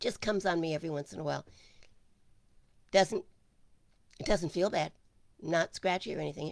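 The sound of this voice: In a raspy, hoarse put-on character voice, a woman talks fairly quickly at a fairly low pitch, with long, frequent pauses.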